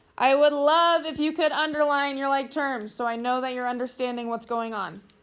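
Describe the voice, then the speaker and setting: A woman with a high pitch speaks at a moderate pace with fairly even intonation, and audible room echo can be heard. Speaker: math teacher. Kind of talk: classroom review lesson. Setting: classroom with students.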